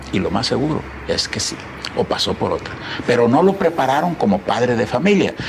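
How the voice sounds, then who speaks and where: A man with a fairly high voice talks at a fairly quick pace with very wide pitch swings, over noticeable background noise. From Tamaulipas, northern Mexico (rural ranch near Río Bravo). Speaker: businessman and education advocate. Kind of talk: interview conversation. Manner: halting, with frequent repetitions.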